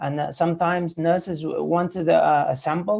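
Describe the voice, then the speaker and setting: A man speaks with a Spanish accent at a moderate pace. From Spain. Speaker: ICU physiotherapist. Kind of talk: panel discussion. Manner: halting, many fillers.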